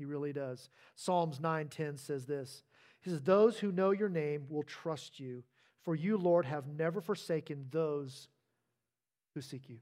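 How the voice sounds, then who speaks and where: This man uses a normal speaking voice with a fairly high pitch. He goes at a fairly slow pace on a very clean recording with a silent background. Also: ordinary pitch variation. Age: 50s. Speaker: pastor. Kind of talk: sermon. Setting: church stage.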